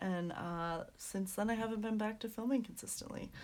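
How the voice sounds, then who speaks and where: A woman speaks quietly. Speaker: coloring hobby youtuber. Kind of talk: casual chat. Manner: speaking quietly; hesitant, many fillers.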